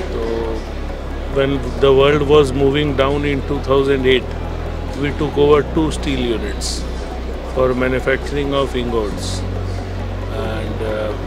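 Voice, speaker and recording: Speaking at a fairly slow pace with long, frequent pauses, a man sounds dry with no echo while clear music plays in the background. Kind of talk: interview answer. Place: hall. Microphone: handheld.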